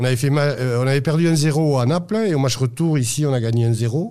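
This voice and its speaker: Here a man talks at a fairly quick pace and a medium pitch. His tone is dark and mellow, with ordinary pitch variation. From Toulouse, southwest France. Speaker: football supporter. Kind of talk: interview testimony. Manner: halting, repeats words.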